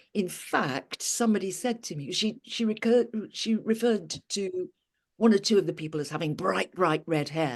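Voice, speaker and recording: Using an unremarkable speaking voice, a woman talks at a moderate pace in a medium pitch with lively intonation. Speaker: audiobook narrator and actor. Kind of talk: interview answer.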